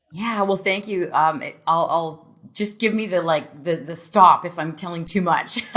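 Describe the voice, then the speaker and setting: Over noticeable background noise, a woman talks at a moderate pace in a fairly low pitch with fairly even intonation. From Canada. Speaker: franchise business executive. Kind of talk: podcast interview.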